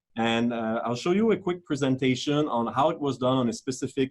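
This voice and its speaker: A man's fairly quick speech with ordinary pitch variation and a French accent. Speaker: risk manager. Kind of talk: webinar talk. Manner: hesitant, with fillers.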